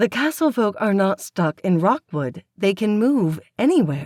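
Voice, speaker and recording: A woman's put-on character voice at a medium pitch, with very wide pitch swings, very even loudness and a moderate pace. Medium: read story. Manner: prim, fussy, disapproving.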